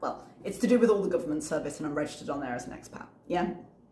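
Audible room echo surrounds a woman's voice. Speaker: YouTube reaction commentator. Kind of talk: commentary vlog. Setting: home recording late at night. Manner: articulate.

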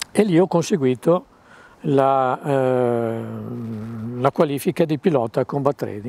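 At a very slow pace, the voice has a dark, mellow tone and ordinary pitch variation. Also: man, dry sound with no echo. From northern Italy, Varese; northern Italy. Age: 70s. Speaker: retired military pilot; interviewee. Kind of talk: interview recollections. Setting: museum. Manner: halting, many repetitions and fillers. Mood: calm reminiscing, hesitant fillers. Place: street.

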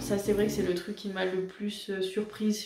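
Audible room echo surrounds a woman speaking at a fairly quick pace. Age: 20s. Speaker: YouTuber. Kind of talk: casual talk to camera. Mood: calm, reflective, somewhat emotional. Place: home room. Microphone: camera far.

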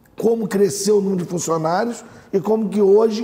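A man talks fairly slowly with a high pitch and ordinary pitch variation. His tone is dark and mellow. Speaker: doctor and mayoral pre-candidate. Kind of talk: TV interview.

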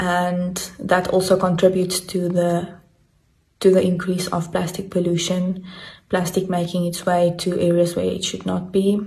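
A woman with a fairly low pitch speaks somewhat breathily at a moderate pace. Her intonation is monotone and flat, and the background is quiet. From South Africa. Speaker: biology teacher. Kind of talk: interview answer. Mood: calm, concerned. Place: home room. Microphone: phone near.

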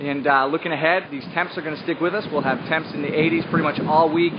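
Intonation stays fairly even over faint background noise. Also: man.

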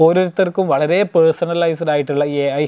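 A man's voice, dark and mellow in tone. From Kerala. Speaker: YouTube commentator. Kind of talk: solo video monologue. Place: studio. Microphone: lapel.

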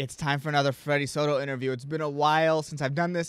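The recording is very clean, with a silent background. On it, a man speaks at a fairly high pitch. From immigrant family, US. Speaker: podcast host, comedian. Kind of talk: podcast intro and casual interview.

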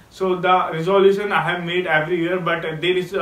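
Audible room echo surrounds a man whose high-pitched voice stays flat and monotone at a moderate pace. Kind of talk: casual speaking practice monologue. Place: home room.

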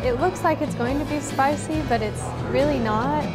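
A woman talks at a moderate pace while loud music plays in the background. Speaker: presenter. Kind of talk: travel show presenting and casual chat. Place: cafe.

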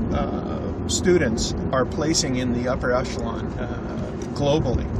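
Through loud background noise, a man talks at a fairly slow pace. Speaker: show co-host. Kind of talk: casual sports commentary chat. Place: car. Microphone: camera far.

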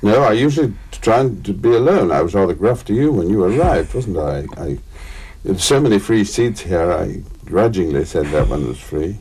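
At a moderate pace, a man speaks in a fairly low pitch with very wide pitch swings. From England. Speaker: actor and raconteur. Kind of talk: interview answer. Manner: hesitant, wry. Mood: witty, wry anecdotal. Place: studio.

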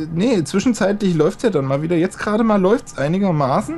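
With music in the background, the voice moves at a fairly quick pace with lively intonation. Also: man. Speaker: co-player in let's play. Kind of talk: casual chat while gaming. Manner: joking, teasing.

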